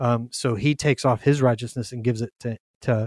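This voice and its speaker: A man at a medium pitch with a Southern US accent and fairly even intonation, the sound dry and close with no echo on a very clean recording with a silent background. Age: 40s. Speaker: young adults minister and podcast host. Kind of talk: casual Bible discussion.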